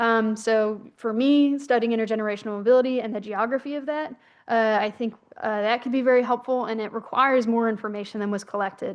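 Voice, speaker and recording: Over a quiet background, a woman speaks at a very fast pace, with a fairly high pitch and fairly even intonation. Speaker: researcher. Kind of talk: conference presentation. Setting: conference session.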